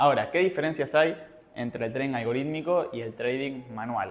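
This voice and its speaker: At a fairly quick pace, a man talks with medium pitch and ordinary pitch variation, and the room echo is audible. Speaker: trading educator. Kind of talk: seminar lecture. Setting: live seminar with audience. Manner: fast.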